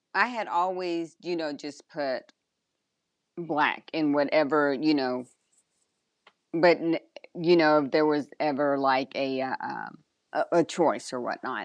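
Over a quiet background, a woman speaks fairly slowly in a very deep, low pitch with a warm tone. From Texas. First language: Spanish. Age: 40s. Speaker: drag racing motorcycle racer. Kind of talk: casual interview chat. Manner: warm, laughs often.

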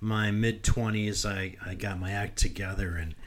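A fairly low-pitched man amid audible room echo. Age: 50s. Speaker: podcast co-host, healthcare technology worker. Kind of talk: casual chat.

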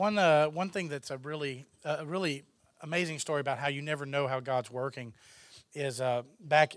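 A man with a Texan accent speaks at a fairly quick pace and fairly high pitch, with ordinary pitch variation, in a very clean recording with a silent background. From Texas. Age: 30s. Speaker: filmmaker. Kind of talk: interview.

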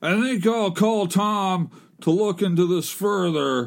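A gruff man speaks. His pitch is high, and his intonation lively. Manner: crabby, gruff.

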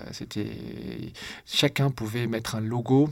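The voice carries vocal fry and fairly even intonation. The recording is very clean, with a silent background. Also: man. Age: 40s. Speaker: entrepreneur and investor. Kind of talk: interview conversation.

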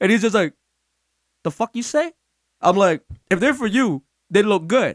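A man talks at a moderate pace with a New York accent. The sound is dry and close, with no echo.

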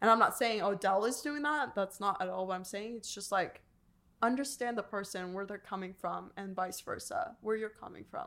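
A bright, sharp tone moves at a moderate pace with ordinary pitch variation and big swings in loudness. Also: woman, medium pitch for a woman. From Iran. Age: 20s. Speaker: podcast co-host. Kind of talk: casual chat.

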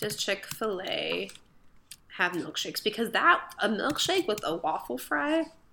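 With an American accent, a woman speaks in a bright, sharp tone and very wide pitch swings on a very clean recording with a silent background. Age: 20s. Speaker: podcast co-host. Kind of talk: casual chat.

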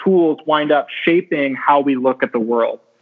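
A normal speaking voice, in an American accent, moves at a fairly slow pace. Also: man. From US West Coast, California. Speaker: science fiction author. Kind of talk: interview.

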